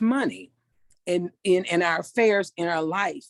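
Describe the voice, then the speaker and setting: In an ordinary speaking voice of medium pitch, a woman talks at a moderate pace in a very clean, dry, close recording with a silent background and no echo. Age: 60s. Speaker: participant, single parent. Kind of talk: group discussion.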